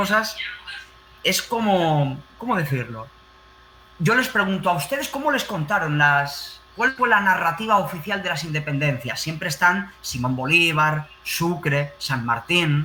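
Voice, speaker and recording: A man speaks at a high pitch and a fairly slow pace, his tone animated and his intonation lively. Noticeable background noise runs behind him. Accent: Spanish. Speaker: teacher. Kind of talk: panel discussion.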